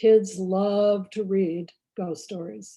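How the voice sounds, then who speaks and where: A woman's very slow, medium-pitched speech in a dark, mellow tone. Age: 70s. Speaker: children's author. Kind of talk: talk to writers club.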